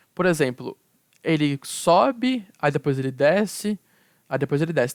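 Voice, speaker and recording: A dry, close sound without echo, pitch moving in an ordinary way. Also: man. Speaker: university student. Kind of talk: tutorial. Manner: repetitive fillers, halting restarts.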